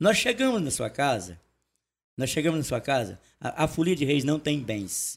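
With vocal fry and very wide pitch swings, a man speaks at a fairly high pitch and moderate pace in a very clean recording with a silent background. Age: 60s. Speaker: folk music group leader. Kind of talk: casual chat.

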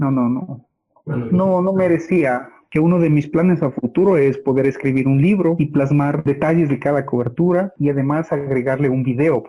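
A man's fairly high-pitched, somewhat breathy voice with ordinary pitch variation. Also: moderate pace. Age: 40s. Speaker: television journalist. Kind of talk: interview.

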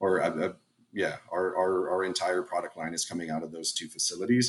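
A man with a very deep, low pitch and an American accent at a fairly quick pace. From South Texas. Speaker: company executive. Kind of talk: interview. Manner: frequent repetitions and fillers.

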